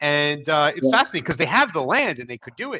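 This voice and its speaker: The sound is dry and close with no echo as a man speaks at a fairly high pitch in a bright, sharp tone. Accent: American. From US East Coast, Philadelphia. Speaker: LinkedIn marketer and vlog host. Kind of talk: casual interview. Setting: livestream.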